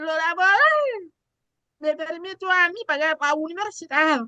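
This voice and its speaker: Raised and projected, a woman's extremely high voice with a bright, sharp tone comes at a very slow pace in a dry, close sound with no echo. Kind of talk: casual panel chat.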